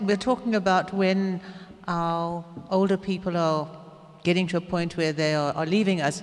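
A woman speaks at a moderate pace. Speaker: audience member. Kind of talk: audience question. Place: hall.

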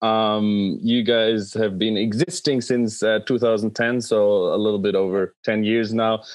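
Against a quiet background, an ordinary speaking voice moves at a fairly slow pace with hardly any pauses, very even loudness and fairly even intonation. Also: man, fairly low pitch for a man. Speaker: podcast host. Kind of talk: interview. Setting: video call. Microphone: video call.

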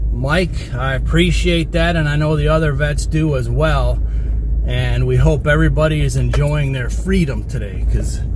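Fairly even intonation marks a man's speech over noticeable background noise. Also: dry sound with no echo. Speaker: land management vlogger. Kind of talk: casual vlog chat. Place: car. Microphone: phone near.

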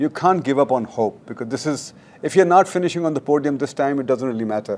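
A man's voice with a dark, mellow tone. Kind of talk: interview answer. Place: hall. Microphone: lapel.

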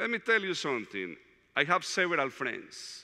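Speaking at a fairly slow pace, a man with a Latin American accent has a bright, sharp tone. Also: quiet background. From Colombia, Medellin. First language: Spanish. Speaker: diocesan director of evangelization, retreat speaker; speaker. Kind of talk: retreat talk. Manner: halting, with frequent fillers. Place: hall.

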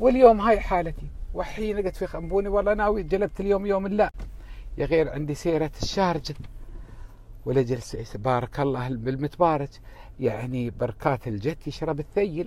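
A man speaks at a moderate pace, with a dry sound and no echo. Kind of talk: casual vlog chat. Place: car. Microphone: earbuds.

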